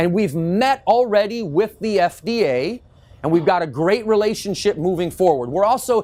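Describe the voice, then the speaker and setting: Loud and high-pitched, a man speaks with very wide pitch swings. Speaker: natural health industry educator. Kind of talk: lecture.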